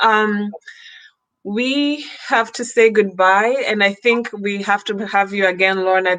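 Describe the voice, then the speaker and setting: A woman with an East African accent speaks at a medium pitch with fairly even intonation. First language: Swahili. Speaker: fashion channel host. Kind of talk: livestream interview. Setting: video livestream.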